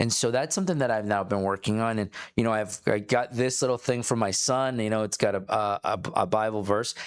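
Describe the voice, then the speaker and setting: This is a normal speaking voice moving at a fairly quick pace, with very even loudness and hardly any pauses. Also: man, medium pitch for a man, ordinary pitch variation. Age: 40s. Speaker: entrepreneur. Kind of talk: casual podcast conversation.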